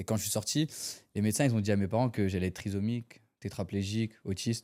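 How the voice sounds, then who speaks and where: In a very clean recording with a silent background, a man with a fairly low pitch and a dark, mellow tone talks at a fairly quick pace in fairly even intonation. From France, Dunkirk area. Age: 20s. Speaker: para-badminton athlete. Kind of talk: interview testimony. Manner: hesitant, many fillers.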